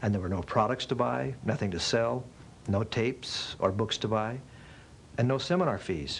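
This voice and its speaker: At a moderate pace, a man with a medium pitch and vocal fry speaks with lively intonation and very even loudness. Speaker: spokesperson. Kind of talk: infomercial spokesperson read. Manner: casual, conversational.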